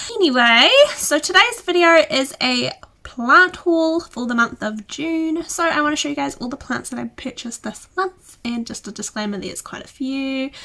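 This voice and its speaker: A woman speaks in a raised, projected voice with a high pitch and a bright, sharp tone. Her loudness swings widely and her intonation is lively, at a moderate pace. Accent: New Zealand. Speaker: houseplant youtuber. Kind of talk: casual vlog talk.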